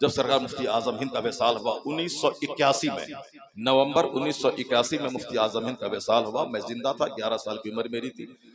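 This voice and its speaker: A man talks at a moderate pace with fairly even intonation against noticeable background noise. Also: medium pitch for a man. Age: 50s. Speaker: Islamic scholar and preacher. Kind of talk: religious speech.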